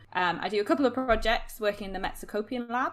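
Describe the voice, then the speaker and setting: Talking at a very fast pace in a Geordie accent, a woman with medium pitch uses lively intonation. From northern England, Newcastle. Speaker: podcast producer and postdoc researcher. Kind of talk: casual chat. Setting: podcast recording.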